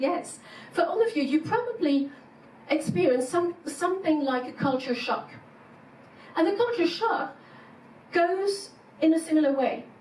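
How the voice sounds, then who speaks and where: A woman speaks in a French accent with long, frequent pauses. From France. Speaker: psychologist and executive coach. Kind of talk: conference keynote talk. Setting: stage with audience.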